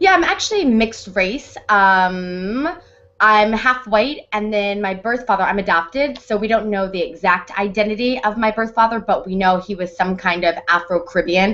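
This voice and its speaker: Bright and sharp in tone, a woman with an American accent talks at a moderate pace and medium pitch with ordinary pitch variation. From US Midwest, Hannibal, Missouri. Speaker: actress. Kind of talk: interview.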